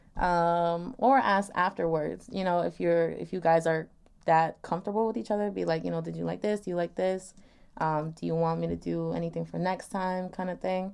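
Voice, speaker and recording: A normal speaking voice from a woman, pitched fairly low, with ordinary pitch variation at a moderate pace. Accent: American. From New York, Long Island. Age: 20s. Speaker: podcast guest on sex and dating. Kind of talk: casual chat.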